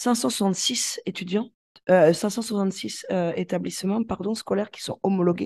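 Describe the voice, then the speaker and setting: Over a quiet background, a woman with a dark, mellow tone talks at a very slow pace. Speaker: primary school teacher. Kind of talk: casual interview. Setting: remote call from abroad.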